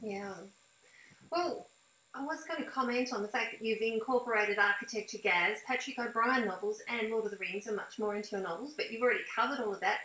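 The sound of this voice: A woman's fairly high, bright and sharp voice at a fairly quick pace, with audible room echo. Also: ordinary pitch variation.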